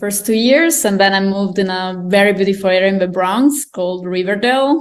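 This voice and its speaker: Lively intonation carries a fairly quick delivery with an Italian accent and hardly any pauses. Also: woman, medium pitch for a woman. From Italy. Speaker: guest presenter. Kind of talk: casual interview. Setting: video call.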